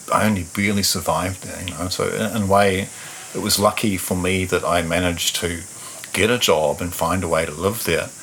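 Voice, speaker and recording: Very deep, low male voice with fairly even intonation over noticeable background noise. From New Zealand, Taranaki. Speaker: musician. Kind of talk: interview conversation. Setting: in-person recording, same room.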